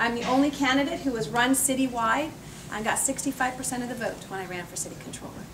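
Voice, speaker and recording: A woman with an American accent talks at a very fast pace and a high pitch, with ordinary pitch variation and big swings in loudness. Audible room echo and noticeable background noise fill the recording. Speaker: politician. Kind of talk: campaign speech. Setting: cocktail party with audience.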